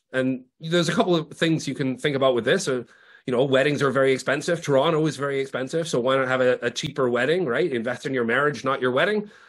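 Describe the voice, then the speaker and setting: The pace is very fast. The background is quiet. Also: man, ordinary pitch variation. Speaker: presenter. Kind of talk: lecture. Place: home room. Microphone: webcam.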